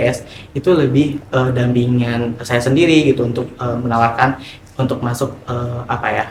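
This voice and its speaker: Noticeable background noise sits behind a man who speaks with monotone, flat intonation. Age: 20s. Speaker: NGO finance worker, HIV outreach. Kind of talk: documentary interview. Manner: casual with frequent fillers.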